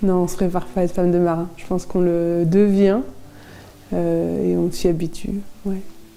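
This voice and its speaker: Amid audible room echo, a woman speaks at a fairly low pitch and a moderate pace, using a monotone, flat intonation and long, frequent pauses. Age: 30s. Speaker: sailor's wife. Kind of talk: interview testimony. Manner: hesitant, many fillers.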